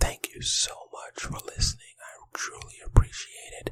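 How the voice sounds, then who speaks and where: A man whispering at a fairly slow pace. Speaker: podcast host. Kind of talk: ASMR podcast episode. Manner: soft-spoken.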